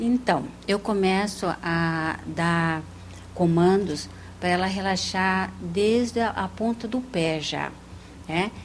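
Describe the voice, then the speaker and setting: A woman's medium-pitched voice moves very slowly, with ordinary pitch variation. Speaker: parapsychologist and hypnotherapist. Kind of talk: TV interview. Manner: soft-spoken.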